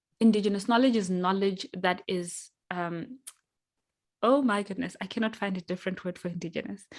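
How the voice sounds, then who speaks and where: A woman's fairly quick delivery with ordinary pitch variation. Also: medium pitch for a woman. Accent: Zimbabwean. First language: Shona. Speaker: workshop facilitator. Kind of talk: online workshop facilitation. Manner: hesitant, many fillers.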